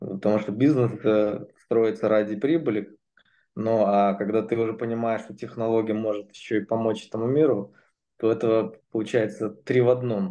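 With a dark, mellow tone, a man speaks with long, frequent pauses. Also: fairly even intonation, moderate pace. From Moscow, Russia; Russia. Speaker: entrepreneur; presenter. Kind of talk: testimony; interview answer. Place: home room. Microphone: video call.

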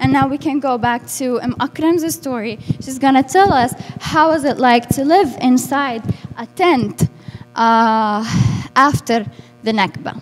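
In an Arabic accent, a woman speaks at a fairly slow pace with a high pitch and ordinary pitch variation. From Lebanon, Burj al Barajneh refugee camp; Lebanon. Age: 20s. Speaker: refugee activist and interpreter; speaker. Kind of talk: public talk. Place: hall. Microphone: handheld.

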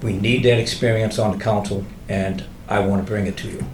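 Amid noticeable background noise and audible room echo, a man with a fairly low voice speaks at a fairly quick pace with fairly even intonation. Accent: American. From Salem, Massachusetts. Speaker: city council candidate, former councillor. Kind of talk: candidate forum statement. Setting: hotel event room with audience. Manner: brusque.

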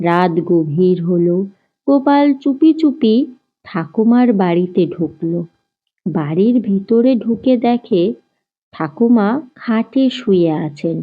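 Her intonation lively, a woman speaks at a slow pace. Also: medium pitch for a woman.

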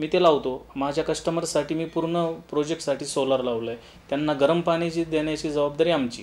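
A man talks at a fairly high pitch. His intonation is fairly even. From Maharashtra, Ahmednagar district (Sakuri village, Rahata taluka); Maharashtra. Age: young. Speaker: builder and developer, civil engineer. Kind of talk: interview, self-presentation. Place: office.

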